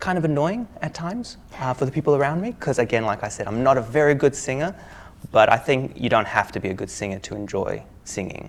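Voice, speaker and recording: Lively intonation marks this man's speech. He talks with an Australian accent. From Australia, Melbourne. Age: 20s. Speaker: IELTS test candidate. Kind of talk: mock speaking exam interview. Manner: casual, hesitant with fillers.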